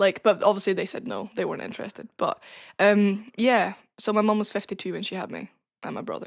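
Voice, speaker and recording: The speaker has a northern Scottish accent and talks at a very fast pace with big swings in loudness. The recording is very clean, with a silent background. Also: woman. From northern Scotland, Caithness. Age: 20s. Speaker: wrestling trainee. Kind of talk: casual chat.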